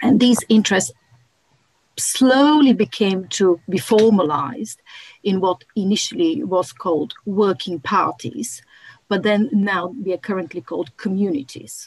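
Somewhat breathy woman's voice, fairly slow, with very wide pitch swings and a dry sound with no echo. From Bulgaria. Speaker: archaeologist; speaker. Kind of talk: panel discussion. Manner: halting. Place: home room. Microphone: video call.

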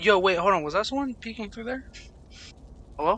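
A man's raised, projected voice, high in pitch, with a bright, sharp tone and lively intonation. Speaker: gaming YouTuber. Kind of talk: let's play commentary. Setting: home recording. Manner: casual, rambling with laughs.

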